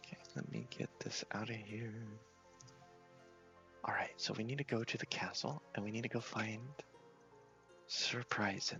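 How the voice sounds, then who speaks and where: A man whispering, with long, frequent pauses and music in the background. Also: moderate pace. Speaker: gaming ASMR creator. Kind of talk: ASMR gameplay commentary. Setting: headset microphone. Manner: whispered.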